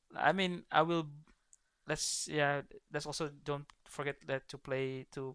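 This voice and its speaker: With an Indonesian accent, a man speaks in a fairly high voice with a bright, sharp tone. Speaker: esports coach and caster. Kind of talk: livestream casual chat. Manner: halting.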